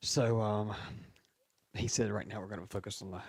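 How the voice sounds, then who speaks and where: A man speaks quietly at a fairly low pitch. His pitch varies in an ordinary way. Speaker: wrestling podcast co-host. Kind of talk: casual chat. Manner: talks low and quiet.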